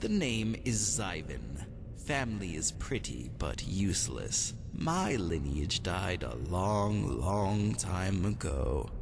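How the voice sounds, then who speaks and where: A man in a put-on character voice speaks very slowly at a very deep, low pitch over loud background noise. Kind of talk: aristocratic drawl. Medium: solo performance. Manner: languid, silky, insinuating.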